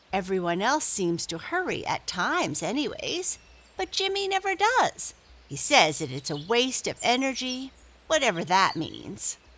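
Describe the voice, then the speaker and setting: A woman uses a put-on character voice, high in pitch. She speaks at a moderate pace. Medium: read story.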